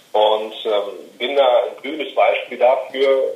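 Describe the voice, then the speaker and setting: With fairly even intonation, a man talks in a space with audible room echo. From Rhineland, western Germany. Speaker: podcaster and podcast marketing consultant. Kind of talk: interview. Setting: phone call. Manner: halting, many fillers.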